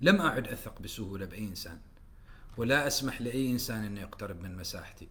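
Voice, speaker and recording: A man at a moderate pace, with lively intonation, big swings in loudness and audible room echo. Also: medium pitch for a man. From Oman. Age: 30s. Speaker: writer and poet. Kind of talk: casual chat.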